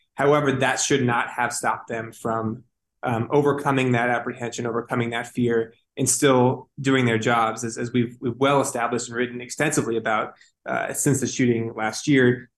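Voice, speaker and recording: A man talks at a moderate pace in a medium pitch. His intonation is monotone and flat. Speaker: news reporter. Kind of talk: interview.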